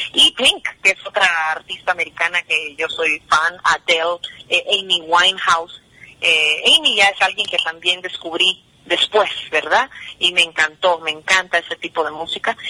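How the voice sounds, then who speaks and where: Over noticeable background noise, a woman talks at a fairly slow pace in a fairly low voice with fairly even intonation, the sound dry and close with no echo. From New Jersey, US (Guatemalan parents). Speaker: singer. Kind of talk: radio interview.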